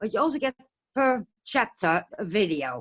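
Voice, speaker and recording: A woman speaks with a Dutch accent. Her pace is moderate. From Netherlands. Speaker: essential oil distributor. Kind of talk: casual interview on webinar. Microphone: connection breaking up.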